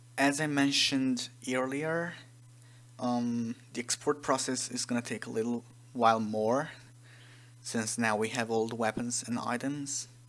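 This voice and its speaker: The speaker has a non-native accent and talks at a fairly slow pace with long, frequent pauses. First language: not English. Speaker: game modder, tutorial maker. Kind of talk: tutorial. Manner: hesitant, many fillers.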